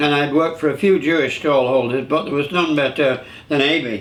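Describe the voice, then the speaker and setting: A fairly quick-paced man with a Lancashire accent, fairly high in pitch for a man, amid audible room echo. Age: 70s. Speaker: show host, veteran entertainer. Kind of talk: casual chat. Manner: halting.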